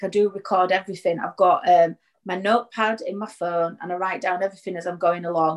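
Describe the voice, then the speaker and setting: At a fairly quick pace, a woman of medium pitch talks in a normal speaking voice. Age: 40s. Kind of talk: interview.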